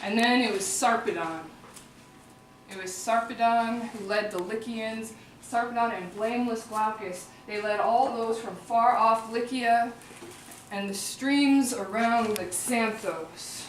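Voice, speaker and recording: Through noticeable background noise and audible room echo, a woman with a fairly high pitch speaks with fairly even intonation. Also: fairly slow pace, big swings in loudness. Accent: American. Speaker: performer-translator of epic poetry. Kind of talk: live oral translation performance. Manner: casual, conversational asides.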